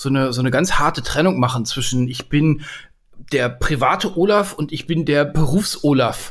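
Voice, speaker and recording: The man's pitch is fairly high, with ordinary variation. He sounds somewhat breathy and keeps a moderate pace. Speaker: leadership podcaster and coach. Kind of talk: casual chat. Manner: cheerful, animated.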